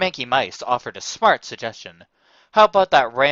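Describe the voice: Plain reading aloud, lively intonation, quiet background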